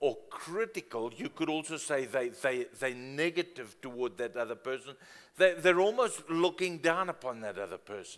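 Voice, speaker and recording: A man talks at a moderate pace with big swings in loudness. The background is quiet. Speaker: preacher. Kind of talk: sermon. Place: church.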